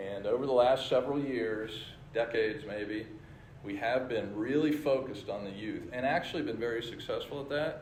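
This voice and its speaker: A man at medium pitch, with audible room echo. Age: 60s. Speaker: church leader. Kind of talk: church presentation with slides.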